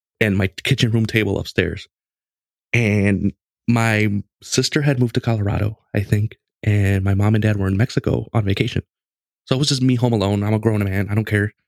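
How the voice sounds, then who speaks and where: A man with a normal speaking voice speaks at a fairly quick pace and a fairly low pitch, his intonation fairly even. The sound is dry and close with no echo, and his loudness stays very even. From Mexican-American family, US. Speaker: podcast host on gaming. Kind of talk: casual chat, storytelling.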